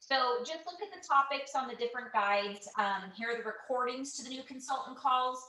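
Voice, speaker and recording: Over noticeable background noise and audible room echo, a woman uses a raised, projected voice that is high in pitch, with ordinary pitch variation, big swings in loudness, and hardly any pauses. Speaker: direct sales team leader. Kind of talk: online training call. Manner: hesitant, many fillers.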